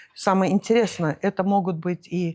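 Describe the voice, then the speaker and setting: A woman with a medium-pitched voice talks at a fairly slow pace and fairly even intonation, captured in a very clean recording with a silent background and a dry, close sound with no echo. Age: 60s. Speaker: businesswoman. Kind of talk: interview. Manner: hesitant, many fillers.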